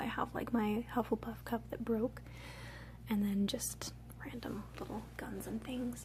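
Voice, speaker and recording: A woman speaks at a fairly slow pace. She is soft-spoken. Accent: American. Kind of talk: ASMR show and tell, casual talk to camera.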